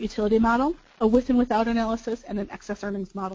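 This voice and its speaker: Her pitch fairly high, a woman talks at a very fast pace. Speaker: business valuation consultant. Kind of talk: webinar presentation. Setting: webinar.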